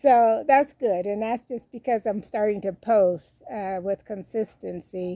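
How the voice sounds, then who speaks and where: Here a woman speaks at a medium pitch and a fairly slow pace. Her tone is dark and mellow. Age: 60s. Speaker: YouTuber, retired expat. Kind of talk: self-interview monologue. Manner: casual, hesitant with fillers.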